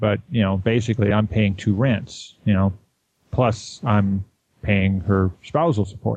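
A plain, everyday voice from a man, fairly low in pitch and fairly slow, with ordinary pitch variation and very even loudness. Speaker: caller. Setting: phone or online call.

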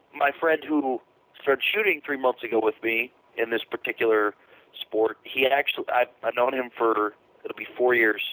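The man's voice sits at medium pitch with ordinary pitch variation, moving at a moderate pace in a dry, close sound with no echo. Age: 20s. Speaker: caller, competitive shooter. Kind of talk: call-in conversation.

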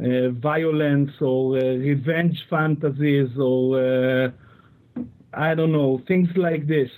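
A man speaks at a very slow pace, his pitch fairly high. His intonation stays fairly even and his loudness very even. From Israel. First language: Hebrew. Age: 30s. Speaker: listener calling in. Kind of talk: call-in conversation.

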